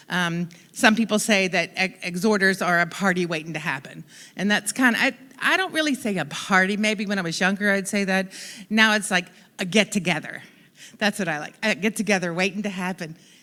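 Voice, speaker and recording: Loud and bright, a woman speaks with a sharp tone at medium pitch. Her pace is fairly quick. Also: ordinary pitch variation. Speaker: church member sharing testimony. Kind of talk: testimony.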